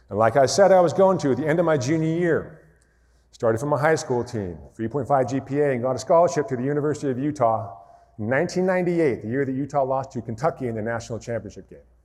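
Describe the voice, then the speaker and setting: Speaking very fast with an American accent, a man keeps a medium pitch and ordinary pitch variation. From rural Montana, US. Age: 40s. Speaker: motivational speaker, former basketball player. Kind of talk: keynote speech.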